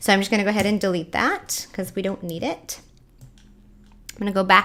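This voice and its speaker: A woman talks at a medium pitch. There is noticeable background noise. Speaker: science educator giving video tutorial. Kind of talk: tutorial. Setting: home kitchen. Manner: loud. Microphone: USB Yeti mic into laptop, some echo.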